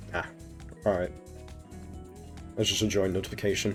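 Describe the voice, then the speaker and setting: Music plays in the background while a man speaks. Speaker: streamer. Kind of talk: casual talk to stream chat.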